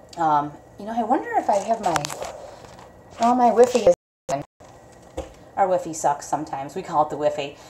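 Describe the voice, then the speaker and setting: A woman speaks over noticeable background noise. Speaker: vlogger. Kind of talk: casual chat. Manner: fast.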